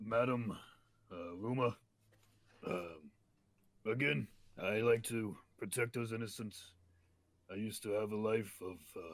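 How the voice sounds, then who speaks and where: Putting on a raspy character voice of medium pitch, a man talks at a moderate pace with long, frequent pauses. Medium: actual play. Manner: hesitant, halting.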